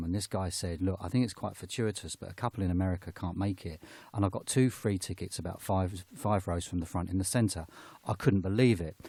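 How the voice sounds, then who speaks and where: A man speaks with a very deep, low pitch and a dark, mellow tone that is somewhat breathy. The recording is very clean, with a silent background. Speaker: radio presenter. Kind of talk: casual storytelling on air. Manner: conversational.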